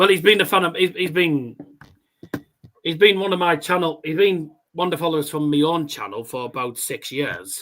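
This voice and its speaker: In a Teesside accent, a man speaks at a moderate pace with a high pitch, ordinary pitch variation and long, frequent pauses. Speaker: darts livestream host. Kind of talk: casual live watchalong chat. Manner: halting, repeats words.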